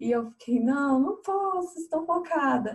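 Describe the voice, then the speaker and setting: This woman's voice has a dark, mellow tone. She is the one speaking. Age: 20s. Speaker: fashion entrepreneur. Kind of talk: interview.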